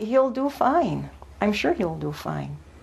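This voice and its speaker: Noticeable background noise accompanies a woman speaking at a fairly high pitch. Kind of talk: news interview answer.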